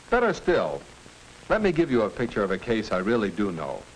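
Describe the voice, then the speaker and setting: A man's pitch makes very wide swings. Light background noise sits behind him. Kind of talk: scripted film dialogue, then narration. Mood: firm, fatherly advice. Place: studio.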